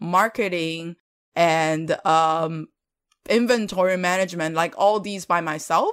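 In a Chinese accent, a woman speaks at a fairly slow pace with a fairly low pitch and ordinary pitch variation, on a very clean recording with a silent background. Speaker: podcast co-host, mentor. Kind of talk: casual conversation.

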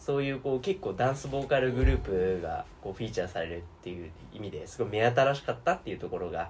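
Over noticeable background noise, a man speaks very fast at medium pitch. His voice makes very wide pitch swings and big swings in loudness. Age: 20s. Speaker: podcast co-host. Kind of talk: casual chat. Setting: at a friend's home.

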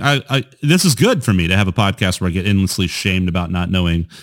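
Talking at a very fast pace with very wide pitch swings, a man is heard on a very clean recording with a silent background. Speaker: podcast host. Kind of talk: casual chat. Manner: excitable.

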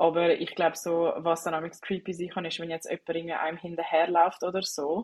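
At a fairly quick pace, the delivery keeps a monotone, flat intonation. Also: woman, fairly low pitch for a woman. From Switzerland. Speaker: podcast host. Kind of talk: casual interview chat. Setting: internet call, not in studio.

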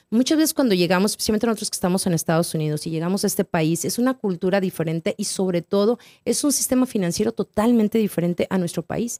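A woman's dark, mellow tone at medium pitch, with lively intonation, a very fast pace and hardly any pauses, in a very clean recording with a silent background and a dry, close sound with no echo. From northern Mexico (Torreón). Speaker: financial advisor and author. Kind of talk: casual interview chat.

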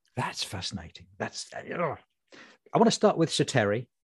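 A man at a moderate pace, very wide pitch swings and vocal fry, in a dry, close sound with no echo. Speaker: comedy writer and podcast host. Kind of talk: casual chat.

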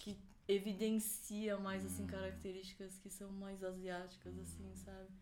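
Room echo is audible as a woman talks fairly slowly. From Florianópolis, southern Brazil. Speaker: event producer, law graduate. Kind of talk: casual chat.

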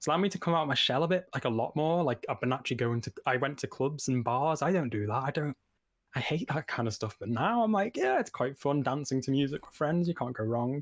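A man's fairly high, very fast voice with lively intonation, dry and close with no echo, on a very clean recording with a silent background. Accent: Liverpool. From Liverpool, England. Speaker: game design student and indie developer. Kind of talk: casual chat. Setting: live stream.

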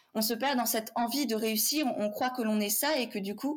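A woman speaks at a fairly high pitch with ordinary pitch variation. Her voice is somewhat breathy. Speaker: podcast host and business coach. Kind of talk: interview conversation.

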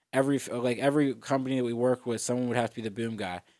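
The speaker has an American accent and a very fast pace. The intonation is monotone and flat. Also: man. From Pittsburgh area, US (Etna, PA). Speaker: comedian and podcaster. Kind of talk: casual chat.

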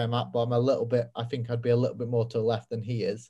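Somewhat breathy and dark, with a mellow tone, this voice speaks at a very fast pace in a British accent. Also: man. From Britain. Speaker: podcast host. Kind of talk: interview; scripted podcast intro and outro.

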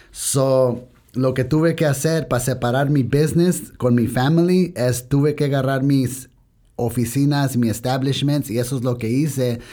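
A man with an English accent talks at a fairly slow pace in a dark, mellow tone, with medium pitch and fairly even intonation. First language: English (speaking Spanish). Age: young. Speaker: business owner. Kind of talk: interview. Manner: halting Spanish with English switches.

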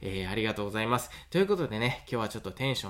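A man speaks with a Kansai accent and lively intonation. The recording is very clean, with a silent background. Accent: Kansai Japanese. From Awaji Island, Hyogo. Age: 30s. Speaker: farmer and podcaster. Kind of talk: solo podcast monologue. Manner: casual with many fillers.

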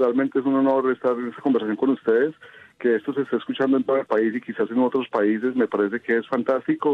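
A man is talking at a very fast pace. Noticeable background noise can be heard. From Colombia, Quindío (Quimbaya). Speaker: photographer and audiovisual producer. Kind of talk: radio interview.

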